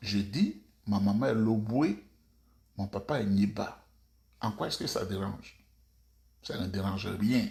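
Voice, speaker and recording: Soft-spoken and somewhat breathy, a man with a fairly low voice speaks very slowly with long, frequent pauses, fairly even intonation and big swings in loudness. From Côte d'Ivoire. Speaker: political commentator. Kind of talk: video monologue. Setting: at home.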